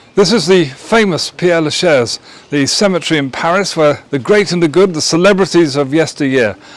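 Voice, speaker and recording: A high-pitched man with an English accent, ordinary pitch variation and a moderate pace. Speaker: vlogger. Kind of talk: travel vlog. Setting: outdoors. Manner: animated; lowered voice.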